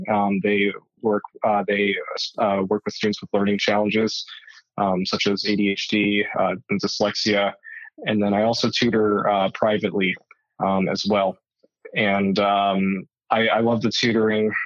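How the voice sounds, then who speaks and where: Speaking fairly slowly with a Southwestern US accent, a man uses a fairly low pitch and monotone, flat intonation. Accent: American (Southwest). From Arizona, US. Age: 20s. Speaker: wheelchair tennis player. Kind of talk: interview. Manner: halting, many fillers.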